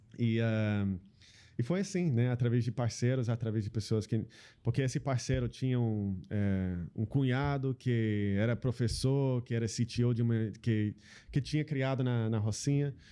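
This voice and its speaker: With an American accent, a man speaks at a moderate pace in a medium pitch with a dark, mellow tone. His pitch variation is ordinary, his loudness very even, and the background quiet. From US Pacific Northwest (Seattle). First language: English (speaking Portuguese). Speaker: social entrepreneur. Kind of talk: interview conversation. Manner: halting, many fillers.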